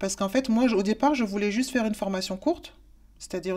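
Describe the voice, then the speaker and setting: A woman with lively intonation. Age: 40s. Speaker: work-study student. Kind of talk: testimony. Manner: halting, many hesitations. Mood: calm, earnest. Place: office. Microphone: lapel.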